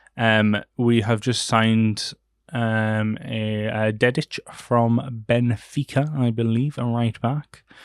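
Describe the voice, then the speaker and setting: A man with a Geordie accent talks at a very slow pace in a monotone, flat intonation. The sound is dry and close, with no echo. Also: medium pitch for a man, very clean recording, silent background. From northern England, Newcastle. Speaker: podcast host. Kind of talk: casual solo chat. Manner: hesitant, many fillers.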